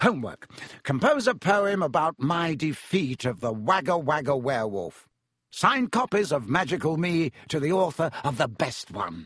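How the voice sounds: This is a put-on character voice with a fairly bright tone, a slightly husky edge and big pitch swings. It moves at a moderate pace in a very clean recording with a silent background. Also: man, fairly high pitch for a man.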